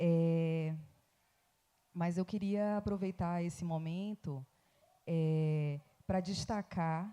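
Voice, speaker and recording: A woman with a Bahian accent speaks in a fairly low, dark, mellow voice with fairly even intonation. She goes at a very slow pace, with long, frequent pauses. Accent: Bahian Brazilian Portuguese. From Bahia, Recôncavo region, Brazil. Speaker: academic researcher. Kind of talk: panel talk.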